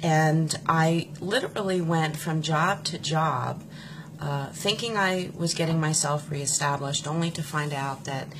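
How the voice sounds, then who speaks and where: A woman with an American accent speaks at a fairly slow pace in a very deep, low voice, her intonation fairly even, with noticeable background noise behind her. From US, Pennsylvania (Philadelphia area). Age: 40s. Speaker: political supporter sharing her story. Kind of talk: personal testimony.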